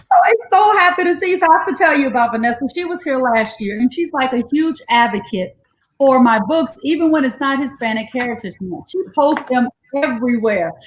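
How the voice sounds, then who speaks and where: A woman's high voice, fairly quick and animated, with very wide pitch swings. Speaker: educator hosting bedtime story reading. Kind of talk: live-streamed casual chat and story reading.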